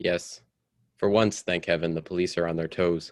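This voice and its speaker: A man performs a put-on character voice. His pitch is very deep and low. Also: moderate pace. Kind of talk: radio drama acting.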